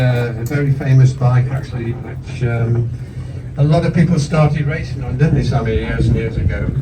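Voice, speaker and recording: A man with a medium-pitched voice speaks at a moderate pace with fairly even intonation, against audible room echo and noticeable background noise. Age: 60s. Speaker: motorcycle expert. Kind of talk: casual chat.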